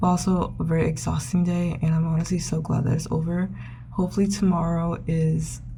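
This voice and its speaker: A woman speaks at a fairly quick pace in a flat, monotone intonation. Noticeable background noise and audible room echo sit behind her voice. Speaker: student vlogger. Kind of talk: casual vlog narration. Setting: study room. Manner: whispering.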